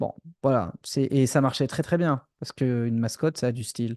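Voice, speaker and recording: A man's dark, mellow tone moves at a fairly quick pace, the sound dry and close with no echo and the background quiet. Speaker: music producer and industry coach. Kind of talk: live stream training session. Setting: live stream on Instagram and YouTube. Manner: poorly articulated, repeats himself.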